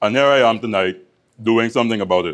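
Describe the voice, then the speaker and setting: At a very fast pace, a man delivers his words in a medium pitch. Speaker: first-time public speaker. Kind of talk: prepared speech. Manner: soft-spoken.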